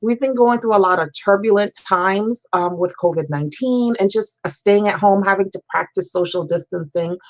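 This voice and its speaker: Speaking with hardly any pauses, a woman keeps a medium pitch with ordinary variation. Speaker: talk show host. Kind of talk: interview. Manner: fast.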